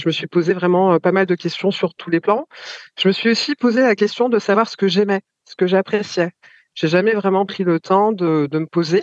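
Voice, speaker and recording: In a dry, close sound with no echo, an ordinary speaking voice moves at a moderate pace with ordinary pitch variation and big swings in loudness. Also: woman, medium pitch for a woman. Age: 40s. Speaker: mother sharing her experience. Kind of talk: testimony.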